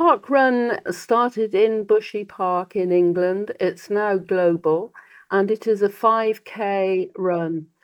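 Speaking with a British accent, a woman uses a medium pitch and ordinary pitch variation. Her pace is very slow. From Britain. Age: 80s+. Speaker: charity head and triathlete. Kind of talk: casual interview.

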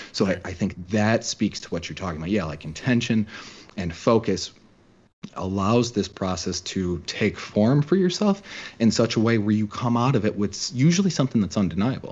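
Here is a man with an ordinary speaking voice, fairly low in pitch. He moves at a moderate pace with lively intonation. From Chicago, US Midwest. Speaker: author and podcaster. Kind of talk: casual interview.

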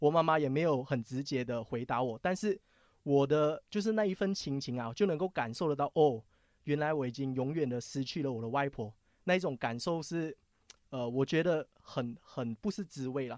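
In a very clean recording with a silent background, a man with a fairly high voice talks at a moderate pace with ordinary pitch variation. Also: dry, close sound with no echo. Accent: slight Taiwanese. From Malaysia. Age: young. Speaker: finance show DJ. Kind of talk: casual chat.

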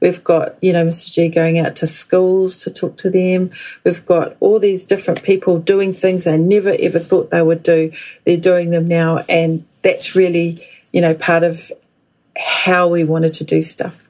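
A woman with a New Zealand accent speaks in a monotone with flat intonation. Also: fairly low pitch for a woman, fairly slow pace. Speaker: guest, daughter of language activists. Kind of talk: interview.

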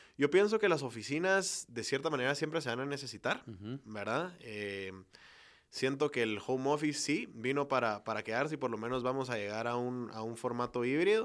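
On a very clean recording with a silent background, a man with an unremarkable speaking voice and a medium pitch talks at a fairly quick pace with lively intonation. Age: 20s. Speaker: virtual reality entrepreneur. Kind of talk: interview.

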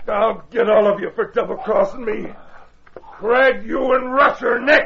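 Putting on a character voice, a man speaks in an extremely high, raspy pitch at a moderate pace. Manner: menacing, threatening.

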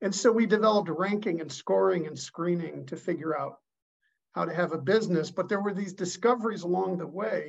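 This man's voice sits high in pitch and moves with ordinary pitch variation. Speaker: leadership expert and author. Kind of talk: casual interview.

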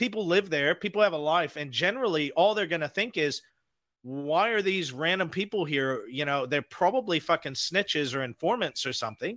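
A man with an American accent speaks at a fairly quick pace in a high voice, his intonation lively. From Idaho, US. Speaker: guest, paranormal show host. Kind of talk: casual chat. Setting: remote call from New Zealand.

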